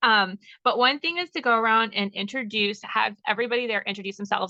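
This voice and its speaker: A woman speaks at a very fast pace in a fairly high pitch with ordinary pitch variation. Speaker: direct sales team member. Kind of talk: team presentation on video call. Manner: loud.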